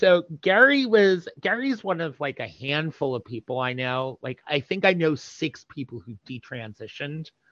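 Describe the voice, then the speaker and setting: Heard in a dry, close sound with no echo, a man with an American accent and an unremarkable speaking voice talks at a moderate pace, his fairly high pitch carrying lively intonation. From New Jersey. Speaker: interview guest sharing community history. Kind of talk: casual interview.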